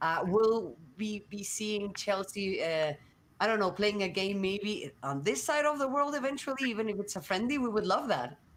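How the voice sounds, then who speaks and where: At a moderate pace, a woman of medium pitch talks with lively intonation in a Spanish accent. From Mexico. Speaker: sports journalist, panel moderator. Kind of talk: panel discussion.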